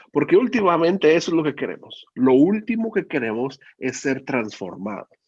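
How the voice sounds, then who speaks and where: Over a quiet background, a man with vocal fry talks at a moderate pace with very wide pitch swings. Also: fairly high pitch for a man. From Mexico, Guadalajara, Jalisco. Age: 40s. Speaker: preacher. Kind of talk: sermon.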